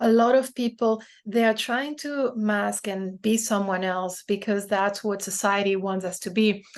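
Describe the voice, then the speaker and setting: Against a quiet background, a woman with a non-native accent speaks at a fairly slow pace with hardly any pauses and fairly even intonation. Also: medium pitch for a woman. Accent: foreign accent in English. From Brazil, France and the Netherlands. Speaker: DEI strategist and self-published author. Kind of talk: podcast interview.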